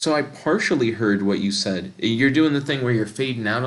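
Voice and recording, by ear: Natural-voiced reading aloud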